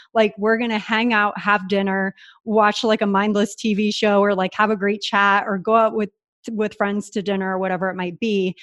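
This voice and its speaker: A woman's medium-pitched voice with an American accent, monotone, flat intonation and a moderate pace, against a quiet background. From US West Coast (San Diego, California). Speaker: entrepreneur and podcaster. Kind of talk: interview, casual chat.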